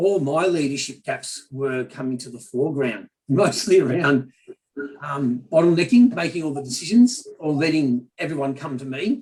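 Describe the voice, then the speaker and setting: At a moderate pace, a man with an Australian accent speaks at a fairly high pitch with lively intonation and big swings in loudness. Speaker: business leader. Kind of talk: panel discussion.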